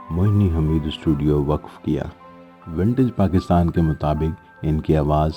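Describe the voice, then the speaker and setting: A man's very deep, low voice with ordinary pitch variation, music in the background. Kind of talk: documentary narration.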